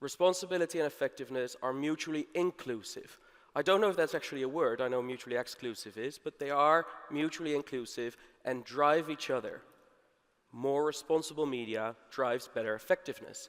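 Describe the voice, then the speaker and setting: This man has a plain, everyday voice, fairly high in pitch, with ordinary pitch variation. He talks at a fairly quick pace on a very clean recording with a silent background. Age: 30s. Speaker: conference speaker, media advertising executive. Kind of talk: conference talk. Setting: stage with audience.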